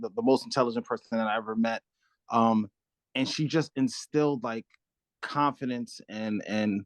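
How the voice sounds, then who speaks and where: Against a quiet background, a man with a New York accent talks at a fairly quick pace with lively intonation, the sound dry and close with no echo. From Brooklyn, New York (Crown Heights). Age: 40s. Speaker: community nonprofit director. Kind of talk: interview.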